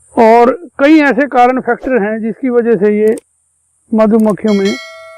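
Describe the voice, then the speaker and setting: Pausing long and often, a man with a high pitch speaks with ordinary pitch variation. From Haryana, India (Kurukshetra). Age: 60s. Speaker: veteran beekeeper. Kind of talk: interview explanation.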